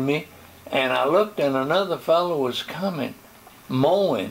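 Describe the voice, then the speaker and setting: With ordinary pitch variation, a man talks fairly slowly against noticeable background noise. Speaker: retired pastor. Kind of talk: interview answer.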